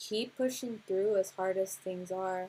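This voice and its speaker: With an American accent, a woman speaks at a fairly slow pace and with fairly even intonation. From Los Angeles County, California. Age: 20s. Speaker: music producer and workshop teacher; musician hosting a livestream. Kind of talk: livestream workshop talk. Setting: livestream. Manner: casual, hesitant with fillers. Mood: earnest, reflective. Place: home room. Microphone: webcam.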